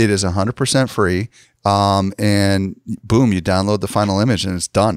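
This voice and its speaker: Over a very clean, silent background with a dry, close sound and no echo, a man speaks at a moderate pace with fairly even intonation in a plain, everyday voice. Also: fairly low pitch for a man. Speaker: podcast host. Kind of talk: interview for a marketing podcast.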